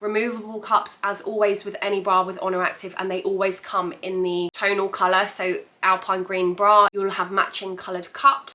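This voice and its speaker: A woman speaks at a moderate pace amid noticeable background noise. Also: medium pitch for a woman, hardly any pauses. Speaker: fitness apparel reviewer. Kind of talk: casual talk to camera. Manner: chatty, excited.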